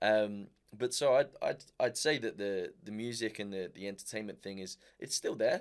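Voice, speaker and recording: Here a man has an unremarkable speaking voice with a fairly low pitch. He keeps a moderate pace and ordinary pitch variation. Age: 20s. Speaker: singer and racing driver. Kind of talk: casual interview.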